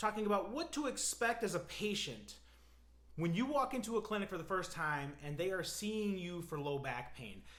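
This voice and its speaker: In a room with audible echo, a man speaks in an animated tone at a high pitch and a fairly quick pace, with very wide pitch swings. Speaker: physical therapist. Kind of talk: educational talk to camera. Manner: fast; animated, casual.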